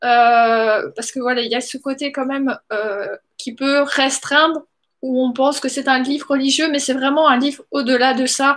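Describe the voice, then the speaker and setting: Her high voice moves at a fairly slow pace, and the woman keeps her intonation fairly even. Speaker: vlogger sharing book readings. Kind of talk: casual vlog talk with reading aloud. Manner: hesitant, many fillers.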